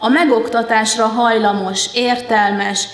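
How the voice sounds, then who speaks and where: Her delivery is monotone with flat intonation, and the woman's voice picks up audible room echo. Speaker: conference presenter. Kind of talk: lecture. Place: hall. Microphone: podium.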